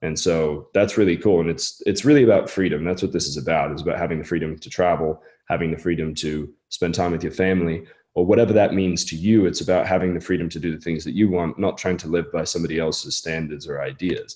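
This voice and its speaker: Very fast pace with hardly any pauses, very deep, low pitch and a dark, mellow tone from a man. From mixed English and American upbringing. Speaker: online business coach. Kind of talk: webinar sales pitch. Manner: casual, animated.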